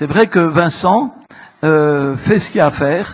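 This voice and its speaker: Fairly high in pitch, the man's voice comes out somewhat breathy. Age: 70s. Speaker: local elected councillor. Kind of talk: council assembly speech. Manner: halting, repetitive.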